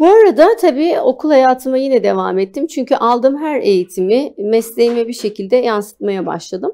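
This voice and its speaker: A dark, mellow tone with lively intonation, at a moderate pace and with hardly any pauses. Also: woman, high pitch for a woman. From Turkey, Antalya; Turkey. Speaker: spa business founder; guest. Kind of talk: TV interview. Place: studio. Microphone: lapel.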